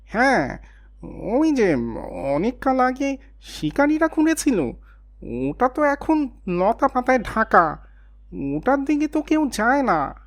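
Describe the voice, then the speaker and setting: A woman uses a cartoonish character voice with a high pitch, speaking at a fairly slow pace. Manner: quick, cheeky.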